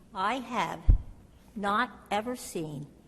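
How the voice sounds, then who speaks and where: Somewhat breathy, the voice shifts in pitch in an ordinary way. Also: woman. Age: 80s+. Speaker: resident speaking at public comment. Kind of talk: public comment at council meeting.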